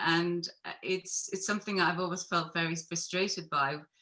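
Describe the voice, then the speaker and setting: At a moderate pace, a woman speaks with a bright, sharp tone. Her pitch is fairly low. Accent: Belfast. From Northern Ireland, Belfast. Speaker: photographer. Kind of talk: panel discussion.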